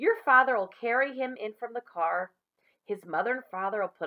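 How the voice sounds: Quiet background behind a natural reading voice of ordinary pitch variation.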